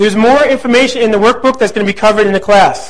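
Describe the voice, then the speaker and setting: Speaking at a fairly quick pace, a man with a high pitch is heard over noticeable background noise. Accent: New Jersey. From New Jersey (central). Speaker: real estate investing instructor. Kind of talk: lecture. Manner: fast; animated.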